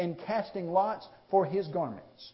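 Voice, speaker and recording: A high-pitched male voice against noticeable background noise. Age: 30s. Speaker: preacher. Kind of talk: sermon.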